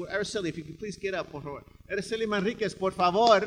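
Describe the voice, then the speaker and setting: A man's animated, high-pitched voice with an American accent at a very fast pace. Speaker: radio host and literary curator. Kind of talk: event emcee. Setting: stage with audience.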